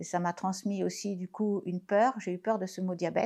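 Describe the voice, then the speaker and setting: At a moderate pace and in a plain, everyday voice, the speaker talks over a quiet background. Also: woman. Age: 60s. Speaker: patient sharing testimony. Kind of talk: testimony.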